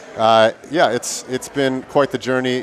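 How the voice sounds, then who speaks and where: Speaking fairly slowly with an Upper Midwest accent, a man uses a medium pitch and ordinary pitch variation over noticeable background noise. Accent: Upper Midwest American. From Milwaukee, Wisconsin. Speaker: gym owner and event commentator. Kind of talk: live commentary banter.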